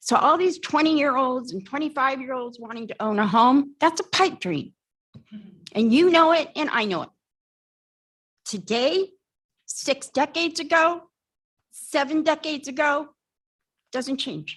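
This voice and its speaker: A woman speaks at a high pitch with lively intonation. Her moderate pace is broken by long, frequent pauses. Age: 60s. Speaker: resident giving public comment. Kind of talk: public comment at council hearing. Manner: heated, confrontational.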